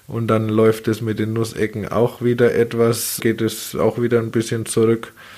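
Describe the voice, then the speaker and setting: Speaking in a flat, monotone way, a man keeps to a medium pitch. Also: moderate pace. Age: 30s. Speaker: baker and business owner. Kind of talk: interview conversation.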